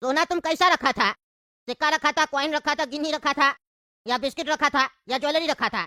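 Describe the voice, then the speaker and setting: A cartoonish character voice, high-pitched and fairly quick. The recording is very clean with a silent background. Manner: blunt, rustic, scolding.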